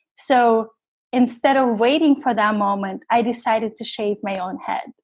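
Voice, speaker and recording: Speaking at a moderate pace, a woman with a slight non-native accent uses a fairly high pitch and ordinary pitch variation. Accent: slight foreign accent in English. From Russia, then New York from about 10. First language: Russian. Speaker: cancer survivor, photographer. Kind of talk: interview testimony.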